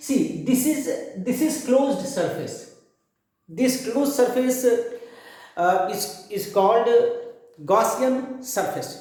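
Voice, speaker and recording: A man with an Indian accent speaks loud and at a very slow pace, his pitch extremely high with ordinary variation. Room echo is audible. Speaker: physics teacher. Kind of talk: lecture. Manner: halting.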